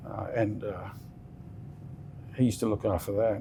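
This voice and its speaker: Here a man with an Australian accent speaks at a moderate pace. His voice sits at a fairly low pitch. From Western Australia. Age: 60s. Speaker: business founder. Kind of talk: interview. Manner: halting.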